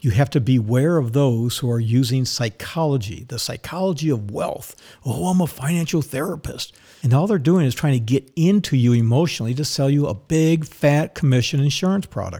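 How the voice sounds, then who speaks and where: A man's fairly high, somewhat breathy voice with a dark, mellow tone, lively intonation and a fairly quick pace. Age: old. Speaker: financial advisor and podcast host. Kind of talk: opinionated monologue.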